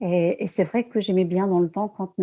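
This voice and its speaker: Over a quiet background, a woman talks at a moderate pace in a dark, mellow tone of medium pitch, her intonation fairly even. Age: 60s. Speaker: former nurse, energy healer. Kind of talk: interview. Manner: hesitant, many fillers.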